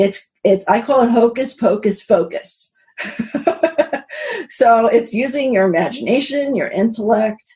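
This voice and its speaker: Lively intonation marks this woman's American accent. She speaks at a fairly slow pace. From New York. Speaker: spiritual abundance coach. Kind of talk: interview. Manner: animated.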